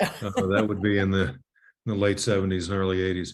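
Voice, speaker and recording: Speaking at a fairly quick pace, a man with an American accent uses a fairly low pitch. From upstate New York and US South (Virginia). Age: 60s. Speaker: writer. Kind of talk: interview. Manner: halting, many repetitions.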